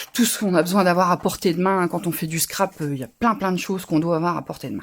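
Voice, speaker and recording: A woman with a northern French accent, fairly low in pitch, at a very fast pace with ordinary pitch variation. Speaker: crafting youtuber. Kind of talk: live craft tutorial. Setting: livestream. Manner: casual, halting with fillers.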